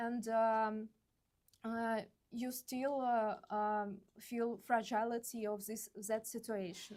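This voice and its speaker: A woman's fairly high, monotone voice with flat intonation, in a Russian accent at a very slow pace. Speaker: visual artist. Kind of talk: artist talk. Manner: halting, many fillers.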